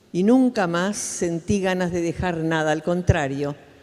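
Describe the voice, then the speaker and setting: A woman speaks with an Argentine accent. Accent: Argentine Spanish (Rioplatense). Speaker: human rights activist. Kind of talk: conference talk.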